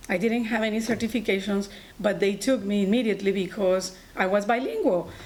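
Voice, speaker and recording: Here a woman speaks with a Colombian accent. Her pace is moderate and her intonation fairly even. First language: Spanish. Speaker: allied health instructor and nurse. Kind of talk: personal story talk.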